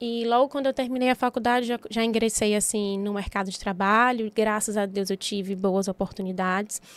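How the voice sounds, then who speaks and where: In an ordinary speaking voice, a woman talks at a moderate pace with hardly any pauses, her fairly high pitch held to a fairly even intonation, the sound dry and close with no echo on a very clean, silent recording. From Bahia, Brazil (Itabuna, southern Bahia). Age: 30s. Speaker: physiotherapist and entrepreneur. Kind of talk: podcast interview.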